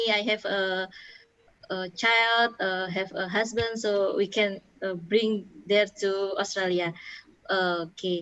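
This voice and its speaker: Bright, sharp woman's voice at medium pitch, monotone and flat, at a very slow pace with long, frequent pauses. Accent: Indonesian. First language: Indonesian. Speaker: webinar moderator. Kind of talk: webinar moderation. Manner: halting, many fillers.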